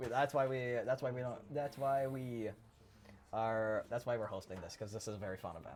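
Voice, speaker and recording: Over music in the background, a man talks at a fairly quick pace and medium pitch with ordinary pitch variation. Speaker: esports caster. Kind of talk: live commentary. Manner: loud; talkative.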